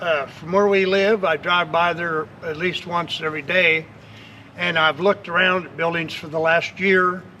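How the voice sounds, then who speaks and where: Over noticeable background noise, a man with an American accent speaks at a moderate pace. His pitch is high, and his intonation is fairly even. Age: 70s. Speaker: customer. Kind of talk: testimonial interview.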